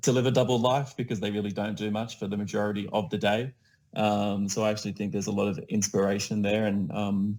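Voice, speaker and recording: Fairly low in pitch, a man talks with an Australian accent. His delivery is very fast, with monotone, flat intonation. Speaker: community builder. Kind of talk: casual chat.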